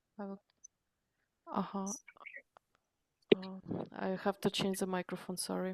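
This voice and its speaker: Speaking in a Ukrainian accent at a fairly slow pace, the voice stays monotone and flat, broken by long, frequent pauses, with a dry, close sound and no echo. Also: woman, medium pitch for a woman. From Ukraine. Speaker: adult language student. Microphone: too quiet microphone.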